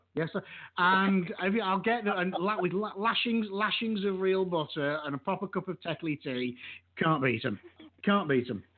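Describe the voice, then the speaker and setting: With an English accent, a man speaks in a high voice at a moderate pace with ordinary pitch variation. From England. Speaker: radio show host. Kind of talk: casual chat.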